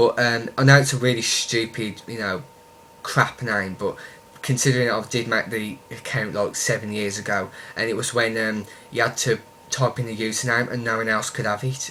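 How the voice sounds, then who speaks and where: A man with a strong Birmingham accent, medium pitch, monotone, flat intonation and a moderate pace, amid noticeable background noise. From Birmingham, West Midlands, England. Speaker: YouTuber. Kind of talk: casual vlog, answering questions. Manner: hesitant, many ums.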